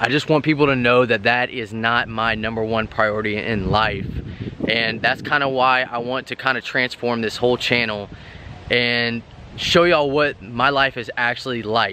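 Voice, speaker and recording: A man speaks at a moderate pace with fairly even intonation. The sound is dry with no echo, and there is light background noise. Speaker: fitness vlogger. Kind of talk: casual vlog chat. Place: garden. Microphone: phone near.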